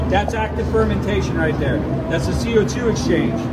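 Music plays behind a man who talks at a medium tempo. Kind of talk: casual tour explanation. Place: factory. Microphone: phone near.

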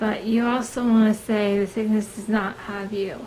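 A woman speaking at a very slow pace over noticeable background noise. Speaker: vlogger. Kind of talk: casual vlog. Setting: filming at home. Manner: hesitant, many fillers.

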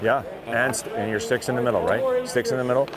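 Speech comes at a very fast pace in a dry sound with no echo, over loud background noise. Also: man. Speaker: hockey assistant coach. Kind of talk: coaching instructions on ice. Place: stadium. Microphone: lapel.

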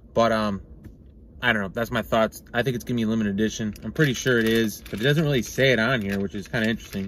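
Light background noise sits under a dry recording with no echo. A man talks at a very fast pace. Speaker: product reviewer. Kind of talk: casual review vlog. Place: car. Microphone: phone near.

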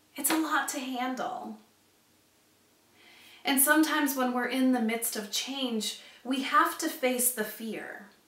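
In strong room echo, a fairly bright voice goes at a slow pace with ordinary pitch variation and long, frequent pauses. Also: woman, high pitch for a woman.

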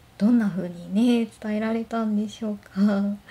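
Fairly slow in pace, a woman speaks in a relaxed, gentle tone that is also dark and mellow. She sounds somewhat breathy. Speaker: blind office worker. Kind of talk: casual talk to camera. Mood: gentle, smiling, relaxed. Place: home room. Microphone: phone near.

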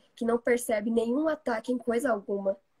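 A somewhat breathy woman's voice. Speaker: reader of the book. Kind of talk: reading aloud. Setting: live stream video call.

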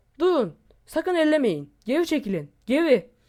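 A shaky, high-pitched put-on character voice moves at a moderate pace. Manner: trembling, fearful.

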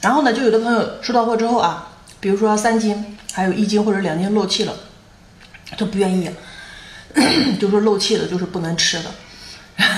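A woman talks at a fairly quick pace with long, frequent pauses and audible room echo. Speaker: street seller / online seafood vendor. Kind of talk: sales pitch, live-stream style product promotion. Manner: chatty and animated, with a playful, laughing tone. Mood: slightly annoyed, explaining. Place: home room. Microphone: phone near.

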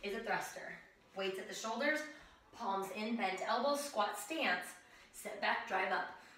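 A woman's voice at a fairly slow pace, ordinary pitch variation, and audible room echo. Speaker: fitness instructor. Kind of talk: tutorial. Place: home room. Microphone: camera far.

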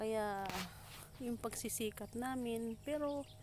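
Through noticeable background noise, a woman speaks very slowly in a fairly high voice with fairly even intonation. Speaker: farmer vlogger. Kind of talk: casual vlog narration. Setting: outdoors on a farm.

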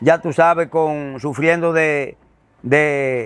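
A man talks in a Dominican accent with ordinary pitch variation. The sound is dry with no echo, and faint music plays in the background. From Dominican Republic. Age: 70s. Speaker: father of a prisoner; interviewee. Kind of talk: interview. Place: home room. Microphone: lapel.

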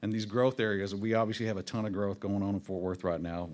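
A man with a Texas Panhandle accent talks in a fairly low voice. His intonation stays fairly even. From Texas Panhandle, Amarillo. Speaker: city government official; presenter. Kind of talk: public presentation at town hall. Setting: town hall meeting. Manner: fast. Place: meeting room. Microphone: podium.

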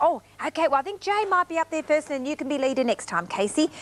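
A woman speaks high and at a fairly quick pace. Her pitch swings very widely. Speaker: TV presenter. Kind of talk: warm presenting to small children. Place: studio.

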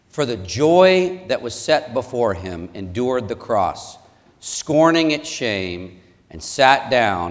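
A man speaks at a very slow pace, his pitch swinging very widely. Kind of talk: wedding ceremony reading and vows. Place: church.

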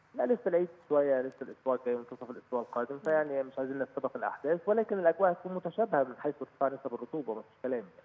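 Lively intonation carries this man's fairly high pitch. He talks at a very fast pace with hardly any pauses. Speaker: meteorologist. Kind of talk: phone interview. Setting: phone call.

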